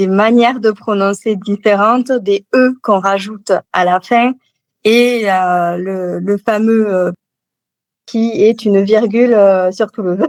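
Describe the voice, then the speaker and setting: At a very slow pace, a woman speaks with medium pitch and fairly even intonation. The sound is dry and close, with no echo. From Toulouse, southern France. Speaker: novelist. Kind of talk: interview answer.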